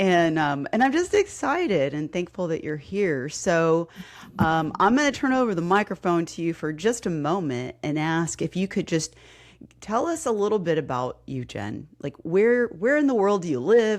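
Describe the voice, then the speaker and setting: Against a quiet background, a woman with a slight Texas accent speaks at a moderate pace in a fairly low pitch with very wide pitch swings. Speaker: podcast host, fitness coach. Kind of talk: casual interview.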